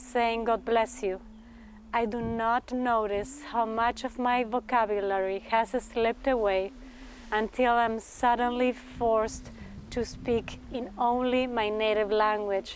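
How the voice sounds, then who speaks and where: This woman talks at a fairly slow pace. Her pitch sits fairly high, and her intonation is monotone and flat. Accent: Spanish. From Argentina. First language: Spanish. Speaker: graduate student performance artist. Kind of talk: thesis presentation reading. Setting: graduate talk to audience. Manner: formal.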